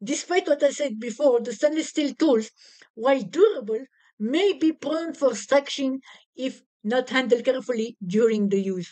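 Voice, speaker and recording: With a French accent, a woman speaks at a high pitch. Her intonation is lively. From France. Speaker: product reviewer. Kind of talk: product review. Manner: halting.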